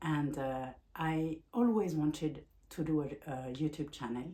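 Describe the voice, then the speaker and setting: A very slow delivery in a strong French accent, dark and mellow in tone, with ordinary pitch variation. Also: woman. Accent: French accent, self-described as strong. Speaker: life coach and vlogger. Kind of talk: personal vlog talk. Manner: halting, with frequent fillers and restarts.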